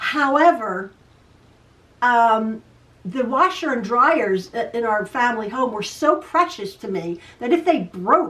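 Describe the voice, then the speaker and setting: A woman's high-pitched voice, bright and sharp in tone, with very wide pitch swings. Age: 60s. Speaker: quilting video host. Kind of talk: casual chat. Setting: home sewing room. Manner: stutters sometimes; chatty, repetitive.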